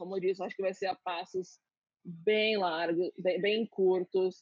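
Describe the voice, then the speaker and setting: A woman speaks at a very slow pace with a medium pitch. Her intonation is fairly even. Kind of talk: casual interview on a live stream. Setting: online live stream. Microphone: audio freezing on the connection.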